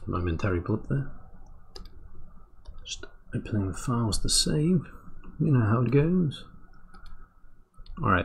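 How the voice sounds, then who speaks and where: A British accent with long, frequent pauses. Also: moderate pace. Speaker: animator streaming on YouTube. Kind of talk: casual live stream commentary. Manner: casual, talking to self while working.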